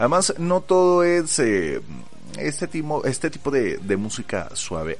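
Here a man talks at a fairly slow pace with very wide pitch swings. Audible room echo surrounds his voice. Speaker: podcast host. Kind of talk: casual chat. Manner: calmer, lower-key delivery.

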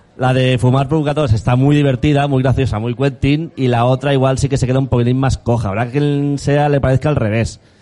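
A man in a normal speaking voice talks at a medium pitch and fairly quick pace, with hardly any pauses, fairly even intonation and very even loudness. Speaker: podcast host. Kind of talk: casual chat. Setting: live event with audience.

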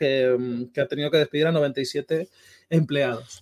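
Pitch variation stays ordinary as this man talks in a fairly high register. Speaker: esports podcast host. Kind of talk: casual chat.

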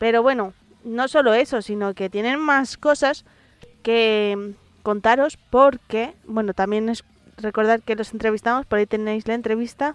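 Dry and close with no echo, a woman talks at a fairly slow pace. Her pitch sits fairly high, and her intonation stays fairly even. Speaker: metal podcast host. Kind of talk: casual radio-style presenting.

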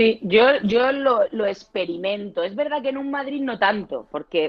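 A woman with a Murcian accent talks at a moderate pace. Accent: southern Spanish (Murcian), still present. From Murcia, Spain. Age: 40s. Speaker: family lawyer. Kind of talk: casual interview.

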